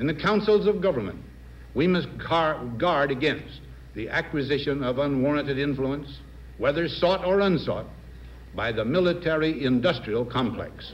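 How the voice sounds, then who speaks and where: A man speaks with an American accent and vocal fry. His fairly high pitch moves with lively intonation. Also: moderate pace. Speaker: president giving a televised farewell address. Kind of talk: formal televised presidential address. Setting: 1961 broadcast recording.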